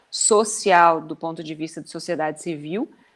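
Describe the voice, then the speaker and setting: A woman talks at a fairly slow pace. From Brazil, Goiás. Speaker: university professor, speaker. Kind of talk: closing remarks at online talk.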